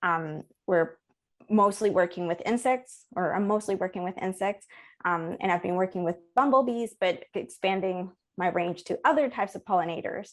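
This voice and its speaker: A woman with a Spanish accent, medium pitch, moderate pace and ordinary pitch variation, on a very clean recording with a silent background. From Colombia, Bogota. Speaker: ecology professor. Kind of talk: interview. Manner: many filler words and restarts.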